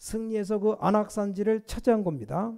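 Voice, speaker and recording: A man's voice with a dark, mellow tone. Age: 60s. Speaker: pastor. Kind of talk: sermon.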